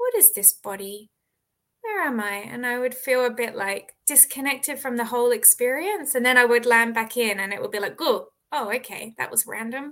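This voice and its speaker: A bright, sharp tone in an Australian accent at a moderate pace, with ordinary pitch variation. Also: woman, high pitch for a woman. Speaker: author. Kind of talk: interview.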